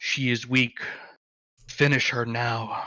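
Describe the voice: A man puts on a character voice at a medium pitch. His intonation is monotone and flat.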